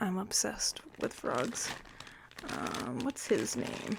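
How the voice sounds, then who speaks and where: A soft-spoken woman talks very slowly at a fairly low pitch, her tone relaxed. Noticeable background noise sits under her voice. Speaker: ASMR content creator. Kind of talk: ASMR thrift haul show-and-tell. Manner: soft-spoken, relaxed.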